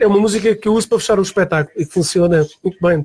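A man with a high voice speaks at a very fast rate. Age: 40s. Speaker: music producer and musician. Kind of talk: radio interview. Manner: halting, many fillers and repetitions.

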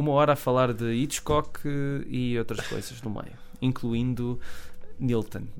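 Audible room echo surrounds a man with a European Portuguese accent, who speaks fairly slowly at a medium pitch with fairly even intonation. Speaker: film podcast co-host. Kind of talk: casual chat. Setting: radio studio.

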